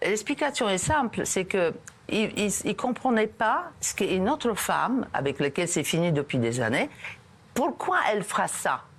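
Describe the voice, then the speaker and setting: A woman's fairly high pitch with very wide pitch swings, very even loudness and a fairly slow pace. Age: 60s. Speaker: TV show guest. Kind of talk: TV talk show interview. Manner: halting, many hesitations.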